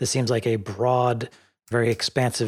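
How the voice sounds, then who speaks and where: In a very clean recording with a silent background, a man with a medium pitch talks at a fairly quick pace in an ordinary speaking voice. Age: 50s. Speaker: podcast host. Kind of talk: casual chat.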